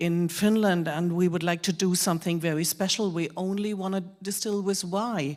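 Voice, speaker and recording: A woman with a strong German accent and fairly even intonation. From Germany. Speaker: whisky expert, presenter. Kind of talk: live presentation to an audience.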